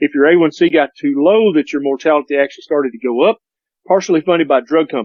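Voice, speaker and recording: Very fast speech from a man, with normal rises and falls in pitch. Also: fairly high pitch for a man. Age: 50s. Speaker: doctor. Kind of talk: casual chat.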